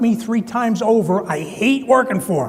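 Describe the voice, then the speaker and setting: In a room with audible echo and noticeable background noise, a high-pitched man with a New Jersey accent speaks with ordinary pitch variation. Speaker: construction consultant, keynote speaker. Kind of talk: conference talk.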